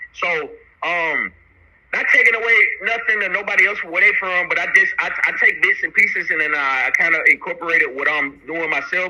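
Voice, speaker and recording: Noticeable background noise sits behind a man talking at a fairly quick pace with a Southern US accent. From US South, Chattanooga, Tennessee. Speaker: rapper. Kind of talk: interview. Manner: halting, with many fillers and repeats.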